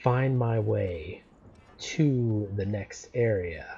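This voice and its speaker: Somewhat breathy, a man's dark, mellow voice moves with ordinary pitch variation. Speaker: gaming YouTuber. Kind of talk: let's play gameplay commentary. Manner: casual, rambling with fillers and repetitions.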